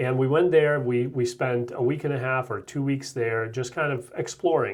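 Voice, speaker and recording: A man with a Russian accent speaks in a medium-pitched, somewhat breathy voice. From Russia (former Soviet Union). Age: 30s. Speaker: real estate agent. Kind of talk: interview.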